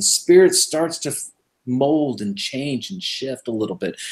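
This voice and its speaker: A man speaks in a Californian accent. His pitch swings very widely. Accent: General American (Californian). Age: 50s. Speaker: radio show host, Messianic believer. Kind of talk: casual interview chat.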